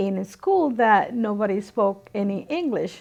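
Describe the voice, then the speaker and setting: A woman with a Spanish accent at a fairly slow pace, over a quiet background. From Dominican Republic, moved to New York City at 12. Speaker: immigrant interviewee. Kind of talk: interview testimony.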